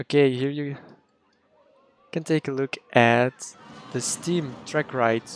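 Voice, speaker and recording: A man with a fairly high pitch talks at a very slow pace, leaving long, frequent pauses. His intonation stays fairly even, and the sound is dry and close with no echo. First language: Dutch. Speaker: game streamer. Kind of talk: live gameplay stream chat. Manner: casual, halting.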